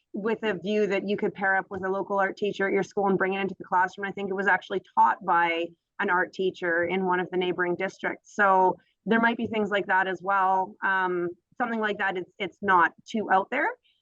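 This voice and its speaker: A woman's medium-pitched voice with fairly even intonation, recorded dry and close with no echo. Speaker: graduate student or program alumna. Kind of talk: Q&A in online info session. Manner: fast.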